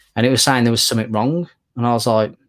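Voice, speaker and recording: On a very clean recording with a silent background, a man with a British accent speaks at a fairly quick pace. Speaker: comic collector YouTuber. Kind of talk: casual chat. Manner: monotone.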